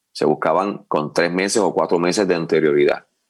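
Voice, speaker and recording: This man has a very deep, low pitch. He speaks at a moderate pace. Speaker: wrestling commentator. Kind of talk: interview answer.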